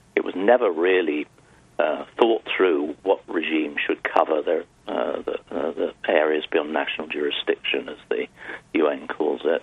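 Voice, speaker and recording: A man with a British accent at a fairly slow pace, over noticeable background noise. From Europe, UK. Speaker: maritime law expert. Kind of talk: expert interview. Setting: phone call.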